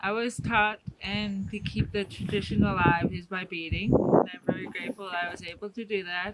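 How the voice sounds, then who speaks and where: A woman at a medium pitch talks at a moderate pace with hardly any pauses, fairly even intonation and big swings in loudness, over noticeable background noise. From Alaska (Fairbanks), Athabascan Native. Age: 20s. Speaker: Native cultural interpreter and bead artist. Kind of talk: cultural talk to a tour group. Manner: hesitant, many filler ums.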